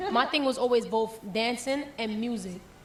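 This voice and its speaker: A woman talks with an American accent. Audible room echo and noticeable background noise surround her voice. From Jamaica, then the Bronx from age 12. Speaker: reggae and dancehall artist. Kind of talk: interview. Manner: casual, animated.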